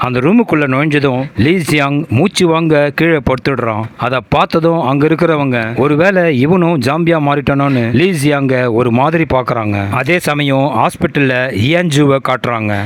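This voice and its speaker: A fairly high-pitched male voice with ordinary pitch variation and very even loudness. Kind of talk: movie recap narration. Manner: dramatic, suspenseful.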